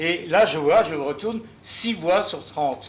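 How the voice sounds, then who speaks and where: A man's intonation is lively, and noticeable background noise runs beneath his voice. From Alsace, Strasbourg. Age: 70s. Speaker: audience member asking a question. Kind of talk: audience question at a public debate. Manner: hesitant, many fillers.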